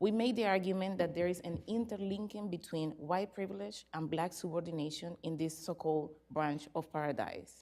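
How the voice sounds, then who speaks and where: A woman speaks at a moderate pace in a fairly low, dark, mellow voice with ordinary pitch variation. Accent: Spanish. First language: Spanish. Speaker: academic researcher. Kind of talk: conference presentation. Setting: conference with audience. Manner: reading from paper.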